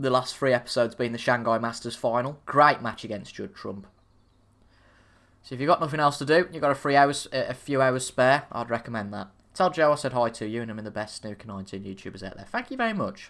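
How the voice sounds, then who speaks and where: In a very clean recording with a silent background, a man speaks at a very fast pace and medium pitch, with ordinary pitch variation and big swings in loudness. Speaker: gaming streamer. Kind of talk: live gameplay commentary. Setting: live stream. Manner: casual, chatty.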